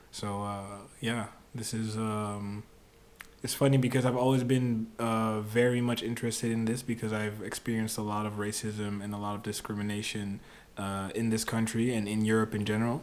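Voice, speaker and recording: With audible room echo, a man speaks in a fairly low, monotone, flat voice at a moderate pace. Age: 20s. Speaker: musician. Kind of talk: casual chat. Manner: halting.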